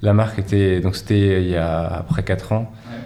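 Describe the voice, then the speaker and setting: Audible room echo surrounds a man's fairly low voice. His intonation is fairly even. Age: 40s. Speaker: running shoe product director. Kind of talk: interview. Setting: company office.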